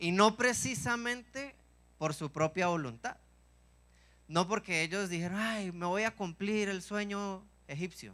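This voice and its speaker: A man speaks at a fairly slow pace with long, frequent pauses. His high-pitched voice is raised and projected, with a bright, sharp, animated tone. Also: ordinary pitch variation. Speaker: preacher. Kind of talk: sermon.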